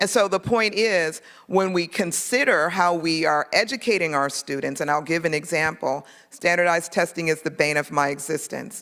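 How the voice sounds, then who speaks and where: With an ordinary speaking voice, a woman speaks at a moderate pace, her fairly low pitch showing ordinary pitch variation. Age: 50s. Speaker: political candidate. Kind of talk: campaign speech.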